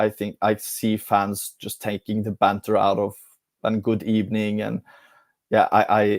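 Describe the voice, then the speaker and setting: On a very clean recording with a silent background and a dry, close sound with no echo, a man with a Norwegian accent speaks at a fairly low pitch in a flat monotone. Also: fairly slow pace. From Norway. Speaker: football fan pundit. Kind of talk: casual live-stream football discussion.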